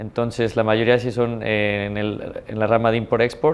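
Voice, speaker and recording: A man speaks with a Mexican accent at a medium pitch. His intonation is monotone and flat. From Mexico, San Luis Potosí. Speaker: businessman. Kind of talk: interview. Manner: hesitant, many fillers. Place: office. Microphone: lapel.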